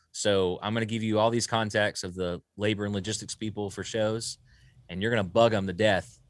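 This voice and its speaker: Speaking with a Southern US accent, a man uses a fairly low pitch and monotone, flat intonation. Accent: Southern US (Georgia). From US South. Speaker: sound engineer and studio owner. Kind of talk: casual interview.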